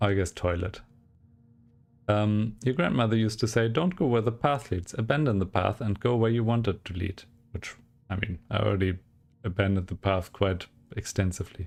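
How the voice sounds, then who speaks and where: Speaking with a German accent, a man with a fairly low pitch and ordinary pitch variation moves at a fairly quick pace yet takes long, frequent pauses. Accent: German accent, obvious. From Germany. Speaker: gaming streamer. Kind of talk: let's play commentary with reading aloud. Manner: casual, thinking aloud.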